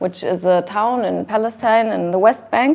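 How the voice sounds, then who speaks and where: A woman speaks with a German accent. Her pitch is fairly high, with ordinary variation. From Germany. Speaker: activist. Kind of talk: talk with slides. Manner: hesitant.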